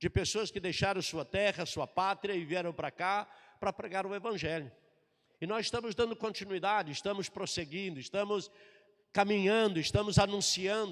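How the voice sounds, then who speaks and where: The man's pitch is high, with ordinary variation. He talks at a moderate pace. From southern Brazil, Florianópolis, Santa Catarina. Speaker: pastor. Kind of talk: sermon.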